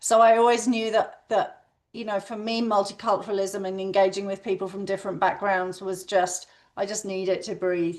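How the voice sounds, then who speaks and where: Against a quiet background, a woman with a West London accent speaks at a moderate pace and medium pitch with fairly even intonation. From England, West London. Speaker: education executive. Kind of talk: webinar panel talk. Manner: hesitant, many fillers.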